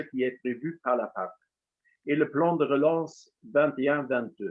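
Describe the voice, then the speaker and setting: Speaking at a very slow pace, a man talks with a Luxembourgish accent. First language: Luxembourgish (speaking French). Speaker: association official. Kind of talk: concluding speech. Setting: webinar.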